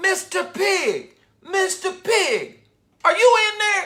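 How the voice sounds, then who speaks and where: A squeaky, put-on character voice. It moves at a very slow pace. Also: man, extremely high pitch for a man. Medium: read story. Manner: sly, self-justifying.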